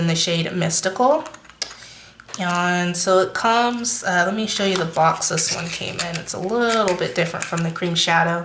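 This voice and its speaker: Room echo is audible around the woman's voice. There is noticeable background noise as well. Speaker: beauty youtuber. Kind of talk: makeup review tutorial.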